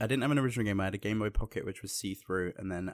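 Recorded very cleanly against a silent background, a man with a fairly low pitch and an unremarkable speaking voice talks with ordinary pitch variation. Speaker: podcast co-host. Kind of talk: casual chat.

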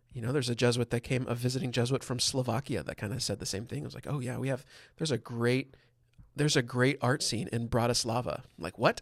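Speaking very fast with vocal fry, a man at medium pitch uses ordinary pitch variation on a very clean recording with a silent background and a dry, close sound with no echo. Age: 30s. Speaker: Jesuit priest and painter. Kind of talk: casual chat.

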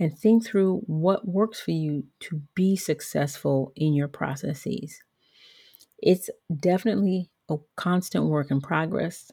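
A woman with an American accent speaks at a fairly slow pace, her fairly low voice somewhat breathy with a dark, mellow tone. Her pitch moves in an ordinary way, and the recording is very clean with a silent background. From US South, Georgia. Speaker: podcast host. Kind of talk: solo podcast monologue.

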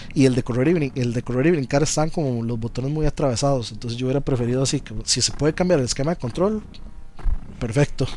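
Music plays in the background. A man speaks at a very fast pace in a Costa Rican accent. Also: medium pitch for a man, ordinary pitch variation. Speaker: video game commentator. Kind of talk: casual chat.

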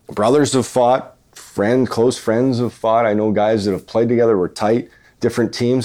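A man at medium pitch with a Canadian prairie accent, dark and mellow in tone, at a moderate pace with hardly any pauses and fairly even intonation. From Canada, rural Manitoba. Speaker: retired hockey player and TV commentator. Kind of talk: casual chat.

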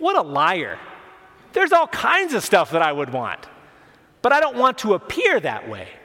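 Man at a moderate pace with long, frequent pauses, noticeable background noise behind him. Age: 40s. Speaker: pastor. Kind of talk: sermon.

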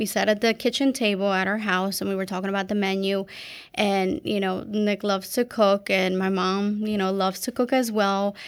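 A woman's unremarkable speaking voice at medium pitch, fairly even intonation and a moderate pace, in a very clean recording with a silent background. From Guatemala, raised in Maryland from age nine. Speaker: restaurant owner. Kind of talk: interview.

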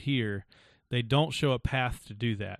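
With an ordinary speaking voice and ordinary pitch variation, a man delivers his words fairly slowly. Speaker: livestream podcast host. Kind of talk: casual chat on a live stream. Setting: live stream, online.

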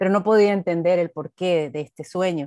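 At a moderate pace, a woman with an unremarkable speaking voice talks at a fairly low pitch with ordinary pitch variation, the sound dry and close with no echo. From Venezuela. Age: 50s. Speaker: pastor and eco-theology activist. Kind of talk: interview.

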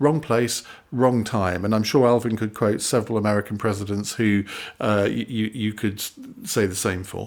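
Speaking at medium pitch, a man has an English accent and a moderate pace. The recording is very clean, with a silent background. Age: 50s. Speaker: author and broadcaster. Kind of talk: interview.

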